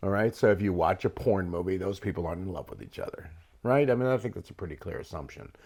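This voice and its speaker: Lively intonation from a man with a fairly low pitch and an ordinary speaking voice. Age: 60s. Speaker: podcast host. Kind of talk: casual chat.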